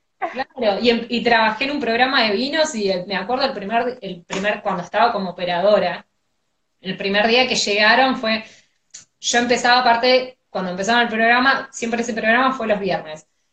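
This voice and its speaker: Her pitch is fairly high, with ordinary variation. The woman talks at a fairly quick pace. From Argentina, outside Buenos Aires. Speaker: radio host. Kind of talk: casual chat. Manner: energetic, cheerful.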